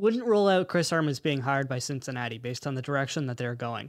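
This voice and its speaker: Very fast speech from a man at a fairly high pitch, with very wide pitch swings. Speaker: soccer podcast co-host, university student. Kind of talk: casual chat.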